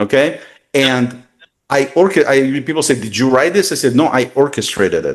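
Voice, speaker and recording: With a Russian accent, a man speaks at a moderate pace with a fairly high pitch and ordinary pitch variation. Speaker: tech consultant. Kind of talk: interview. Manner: halting.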